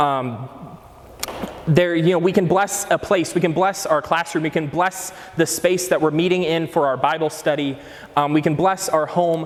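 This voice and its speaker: A man speaks at a moderate pace with a high pitch and fairly even intonation. His loudness stays very even, with noticeable background noise. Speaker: catechesis speaker. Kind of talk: lecture. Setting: breakout session with audience.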